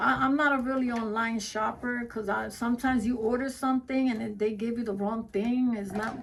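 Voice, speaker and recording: A woman talks at a fairly quick pace with hardly any pauses, her pitch fairly high. Her intonation is monotone and flat, with noticeable background noise behind her. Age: 60s. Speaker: wreath maker, crafting vlogger. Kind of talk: casual crafting livestream chat. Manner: conversational, self-talking.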